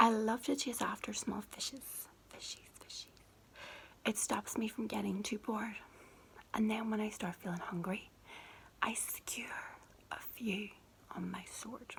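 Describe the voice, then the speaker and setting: Whispering in a Northern Irish accent, a woman speaks at a fairly slow pace. Her pauses are long and frequent. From Northern Ireland. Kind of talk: children's book reading. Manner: soft-spoken.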